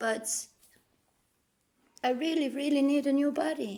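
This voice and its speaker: The speaker is a woman with a Danish accent. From Denmark. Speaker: vlogger. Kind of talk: personal monologue.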